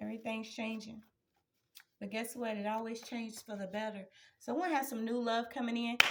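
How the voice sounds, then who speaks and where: Fairly quick yet broken by long, frequent pauses, a woman talks at a fairly high pitch with fairly even intonation. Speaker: tarot energy reader. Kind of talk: spiritual reading to viewers. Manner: loud, projecting.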